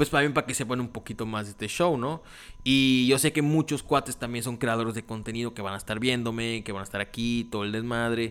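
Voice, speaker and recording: Recorded very cleanly against a silent background, a man speaks with a Mexican accent at a moderate pace. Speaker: podcast host. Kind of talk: casual chat. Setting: home recording. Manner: casual, natural unforced voice; animated.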